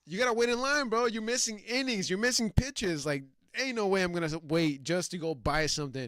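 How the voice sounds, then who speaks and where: Moving at a fairly quick pace, a man speaks in a high pitch with very wide pitch swings. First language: not English. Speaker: sports podcast co-host. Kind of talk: casual chat. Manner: animated.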